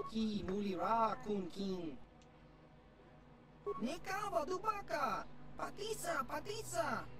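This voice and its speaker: With noticeable background noise, a put-on character voice of fairly high pitch moves at a fairly slow pace with long, frequent pauses. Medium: video game.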